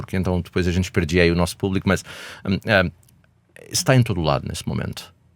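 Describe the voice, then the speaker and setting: This man talks at a very fast pace. He has a European Portuguese accent. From Portugal. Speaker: healthcare company executive. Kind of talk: podcast interview. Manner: hesitant, with fillers.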